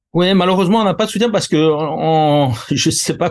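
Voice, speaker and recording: A man talks with ordinary pitch variation while the background stays quiet. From Corsica. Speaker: concert producer and elected representative. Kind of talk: interview. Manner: halting, many repetitions and fillers.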